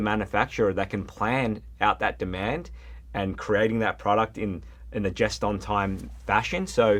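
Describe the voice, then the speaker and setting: In a very clean recording with a silent background, a man with an Australian accent talks with vocal fry. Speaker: plumbing supply regional manager. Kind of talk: podcast interview.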